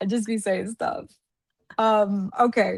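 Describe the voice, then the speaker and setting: A woman's animated voice, fairly high-pitched, with ordinary pitch variation. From Atlanta, Georgia, US (Dominican family). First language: Spanish. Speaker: podcast guest, content creator. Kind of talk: casual chat.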